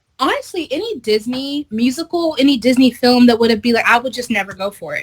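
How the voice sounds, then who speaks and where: With lively intonation, the woman talks in a high voice. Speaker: interviewed performer. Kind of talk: interview. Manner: casual.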